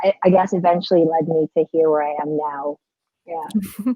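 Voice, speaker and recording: The speaker talks at a moderate pace with an American accent and fairly even intonation. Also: woman. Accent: sounds American. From Philippines, Manila. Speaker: book subscription box founder. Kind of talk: casual chat. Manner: halting.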